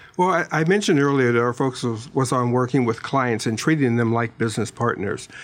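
Speaking very fast with hardly any pauses, a man uses an American accent. His medium pitch varies in an ordinary way, and his loudness stays very even. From Pittsburgh, US. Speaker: staffing branch manager. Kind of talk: casual radio interview.

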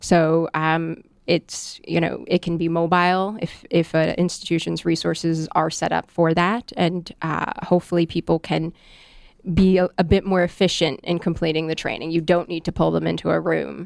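Here a woman speaks in a fairly low pitch with monotone, flat intonation. The recording is very clean with a silent background, and the sound is dry and close with no echo. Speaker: corporate compliance and training leader. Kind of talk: casual interview. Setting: on-location broadcast studio. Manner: fast.

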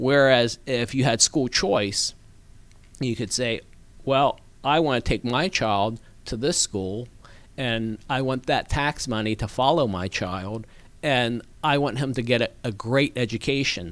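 A man's unremarkable speaking voice at medium pitch, fairly slow, with ordinary pitch variation, on a very clean recording with a silent background. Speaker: political candidate. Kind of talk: interview. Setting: studio.

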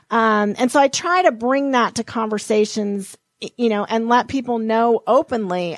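Recorded very cleanly against a silent background, dry and close with no echo, a woman with an ordinary speaking voice and an American accent speaks at a moderate pace and a fairly high pitch. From Montana. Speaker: financial advisor and author. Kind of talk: interview.

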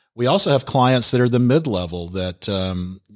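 Against a silent background in a very clean recording, a plain, everyday voice with an American accent speaks at a moderate pace with ordinary pitch variation. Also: man. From US South, Alpharetta, Georgia. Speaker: tech consultant and business owner. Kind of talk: radio interview. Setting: studio.

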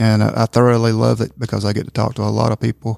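A man speaks at a fairly low pitch and a moderate pace, with fairly even intonation. The sound is dry and close, with no echo. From Northwest Georgia, Somerville. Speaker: manufacturing company public relations. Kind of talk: casual chat.

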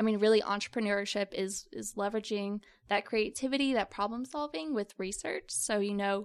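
On a very clean recording with a silent background, a woman with an ordinary speaking voice talks at a fairly high pitch with ordinary pitch variation. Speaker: university student entrepreneur. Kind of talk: interview. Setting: studio.

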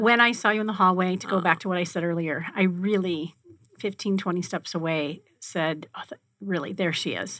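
A woman with an ordinary speaking voice at a medium pitch, showing ordinary pitch variation and a moderate pace. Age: 50s. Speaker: radio host. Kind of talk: casual chat. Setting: studio.

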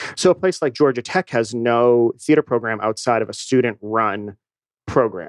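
In an ordinary speaking voice, a man with an American accent speaks at a moderate pace and medium pitch with ordinary pitch variation, the sound dry and close with no echo. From New England, Boston. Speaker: theater company director. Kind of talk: radio interview. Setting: studio.

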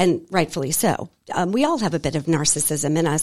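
With an American accent, a woman talks in very wide pitch swings, and the sound is dry and close with no echo. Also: very clean recording, silent background. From Boston, Massachusetts. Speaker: divorce coach. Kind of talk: radio interview. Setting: radio studio.

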